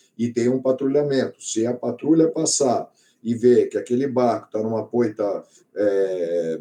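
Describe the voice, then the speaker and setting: A man with a medium-pitched voice speaks in a dark, mellow tone. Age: 60s. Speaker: biologist and oceanographer, sailor. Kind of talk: panel talk at an event.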